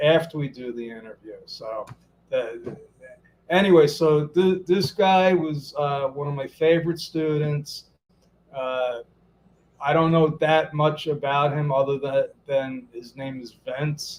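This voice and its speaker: A man with a Brooklyn accent, fairly high pitch and fairly slow pace, his loudness swinging widely. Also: ordinary pitch variation. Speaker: business coach and interview host. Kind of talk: live interview. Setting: Facebook Live video stream. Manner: halting, frequent repetitions.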